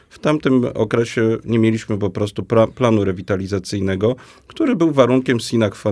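Ordinary pitch variation runs through the speech. Its tempo is fairly quick. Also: man. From Poland, Łowicz. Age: 40s. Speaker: mayoral candidate, local politician. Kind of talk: political debate. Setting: radio studio. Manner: halting, many fillers.

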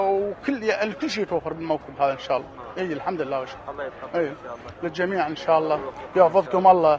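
A man with a high pitch talks at a fairly quick pace. There is noticeable background noise, and the sound is dry with no echo. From Iraq. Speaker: pilgrim volunteer server. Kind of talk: street interview. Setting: outdoors. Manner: halting. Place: street.

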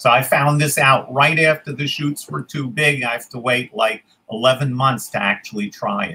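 A man with a New York accent speaks at a moderate pace in a medium pitch, his bright, sharp tone carrying ordinary pitch variation. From New York City (Queens). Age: 70s. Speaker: forager, tour guide. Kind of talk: interview.

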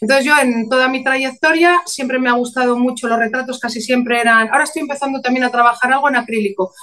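Very fast speech with ordinary pitch variation. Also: woman. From León, Spain; Spain. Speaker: painter and author; interviewee. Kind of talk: interview. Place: home room. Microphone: webcam.

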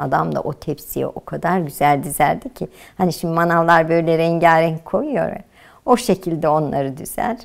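The background is quiet as a woman talks with vocal fry. Her pitch varies in an ordinary way. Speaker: housewife, oral history interviewee. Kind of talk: oral history interview answer, recalling the past. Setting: interview, indoors. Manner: reminiscing, storytelling, nostalgic. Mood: warm, nostalgic, smiling. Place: home room.

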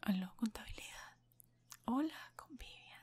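At a very slow pace, a woman speaks in a whisper. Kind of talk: ASMR roleplay phone talk. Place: home room. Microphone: webcam.

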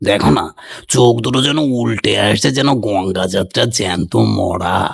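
Using a put-on character voice, a man speaks fairly slowly at a fairly low pitch with lively intonation. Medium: read story.

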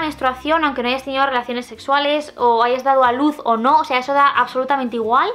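A woman speaks very fast in a Castilian accent, her pitch high. Music plays in the background. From Spain. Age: 20s. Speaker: booktuber and author. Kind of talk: casual talk to camera. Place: home room.

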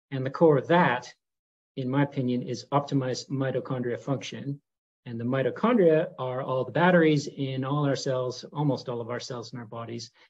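A man with a Canadian accent, somewhat breathy, at a fairly quick pace, with fairly even intonation and big swings in loudness. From Canada. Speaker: neurologist; interviewee. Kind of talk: interview monologue; interview answer. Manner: hesitant, many fillers. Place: home room. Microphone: webcam.

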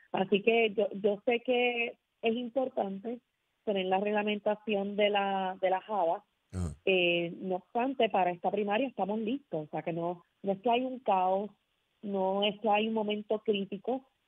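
With an ordinary speaking voice, a woman talks at a fairly slow pace in a medium pitch and fairly even intonation. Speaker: lawyer and party electoral official. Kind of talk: radio interview. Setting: phone call.

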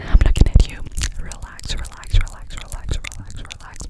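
Whispering and soft-spoken, a woman talks at a moderate pace. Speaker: ASMR creator. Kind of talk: soft ASMR whispering. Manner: soft close-mic whisper, slow repetition. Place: home room. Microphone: studio mic.

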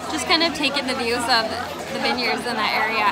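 A woman talks at a moderate pace. Loud background noise fills the recording. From Minnesota, USA. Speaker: travel vlogger. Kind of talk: casual travel vlog talk to camera. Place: street. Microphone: phone near.

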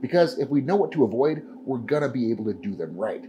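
A man speaks with light background noise. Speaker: powerlifting coach. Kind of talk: tutorial. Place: gym.

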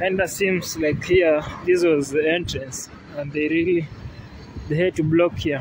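A man at a fairly slow pace with fairly even intonation, a dry sound with no echo, and noticeable background noise. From Kenya. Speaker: travel vlogger. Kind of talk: vlog walking tour narration. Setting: outdoors. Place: street. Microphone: phone near.

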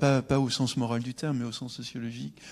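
Faint music plays behind a man's voice. He talks at a fairly quick pace with fairly even intonation. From France, Le Mans; France. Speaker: sociologist; guest. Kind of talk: public debate. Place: stage. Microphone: handheld.

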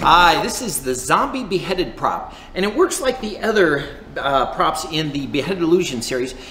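At a moderate pace, a man with a high pitch talks amid light background noise and audible room echo. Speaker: prop maker demonstrating product. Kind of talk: product demo. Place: studio.

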